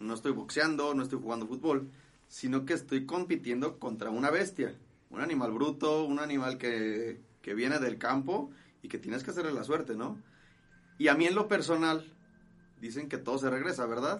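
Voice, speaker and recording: This man's voice sits fairly high, moving at a moderate pace with ordinary pitch variation. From Guadalajara, Jalisco, Mexico. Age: 20s. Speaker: charro rider. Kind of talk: casual interview. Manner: halting.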